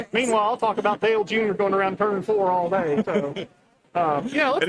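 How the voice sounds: A woman with a Southern US accent talks at a fairly quick pace, her medium pitch showing ordinary variation and her loudness very even, over noticeable background noise.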